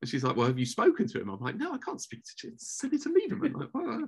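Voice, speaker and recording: A man with a London accent. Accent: British English, London. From England. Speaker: former office director for a rabbi. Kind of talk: podcast interview. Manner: halting, many repeated words.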